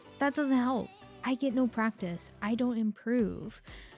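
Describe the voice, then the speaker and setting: With music in the background, a woman speaks at a fairly slow pace in a fairly high pitch. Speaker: digital artist. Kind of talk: voiceover commentary on a speedpaint.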